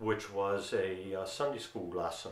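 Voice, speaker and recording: A man with a Delaware accent talks at a moderate pace in a fairly low pitch, his intonation fairly even, with audible room echo around him. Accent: local Sussex County Delaware. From Delaware, Sussex County (Delmarva Peninsula). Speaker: author and lawyer. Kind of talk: direct-to-camera storytelling.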